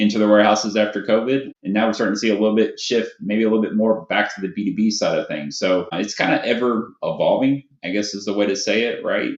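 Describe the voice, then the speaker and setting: A man with a Kentucky accent speaks at a fairly low pitch and a very fast pace. He hardly pauses, and his intonation is fairly even. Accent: Kentucky Southern US. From Louisville, Kentucky. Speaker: warehouse consulting sales director. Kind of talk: podcast interview.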